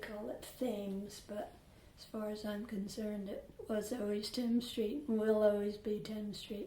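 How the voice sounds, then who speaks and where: Noticeable background noise sits behind a woman with a Rhode Island accent. She speaks at a moderate pace and a fairly high pitch. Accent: Rhode Island, New England. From Newport, Rhode Island. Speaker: longtime resident. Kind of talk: oral history interview answer.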